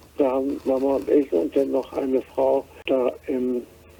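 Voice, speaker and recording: Over noticeable background noise, a man speaks fairly slowly at medium pitch in a flat monotone. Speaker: war refugee. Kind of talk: interview answer, personal recollection. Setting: phone line.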